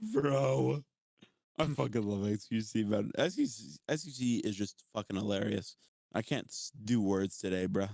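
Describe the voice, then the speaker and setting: An ordinary speaking voice comes with an American accent at a moderate pace. The sound is dry and close, without echo. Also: man, fairly low pitch for a man, lively intonation. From US, West Virginia. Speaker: TikTok creator and streamer. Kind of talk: casual chat.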